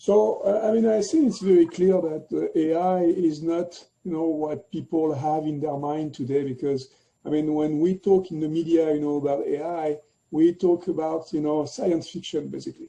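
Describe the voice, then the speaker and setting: This man has a French accent, a fairly high pitch, and a dark, mellow tone. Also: ordinary pitch variation, moderate pace. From France. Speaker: tech executive. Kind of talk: interview. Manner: halting, many fillers.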